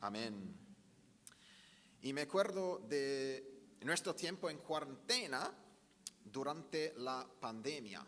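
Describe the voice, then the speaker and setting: At a very slow pace, a man with an Australian accent speaks with very wide pitch swings and audible room echo. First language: English (speaking Spanish). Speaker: pastor. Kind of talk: sermon.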